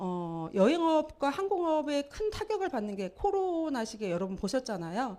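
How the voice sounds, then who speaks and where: Very wide pitch swings in a woman's dark, mellow tone. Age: 50s. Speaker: network marketing speaker. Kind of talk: motivational seminar talk. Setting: lecture hall with audience.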